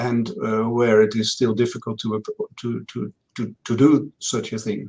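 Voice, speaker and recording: In a Dutch accent, a man of medium pitch talks at a fairly slow pace with fairly even intonation. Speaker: health data researcher. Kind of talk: Q&A session. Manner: halting, many fillers.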